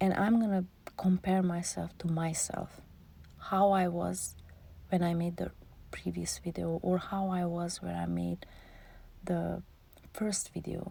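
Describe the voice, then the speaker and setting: A non-native accent at a fairly slow pace, with long, frequent pauses. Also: woman. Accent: foreign accent in English. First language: not English. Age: 40s. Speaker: vlogger. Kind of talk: voiceover monologue. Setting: in a closet.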